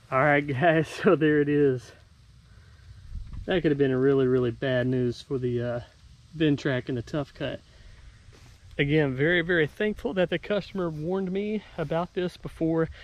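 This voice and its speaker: Here a man talks at a moderate pace with ordinary pitch variation. His speech has long, frequent pauses and a dry sound with no echo. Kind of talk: casual vlog chat. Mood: relieved, thankful. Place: open country.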